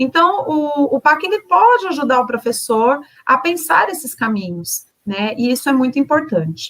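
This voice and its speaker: Pitch swings very widely in this woman's voice. She speaks high and at a moderate pace. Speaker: education trainer. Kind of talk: online teacher training presentation.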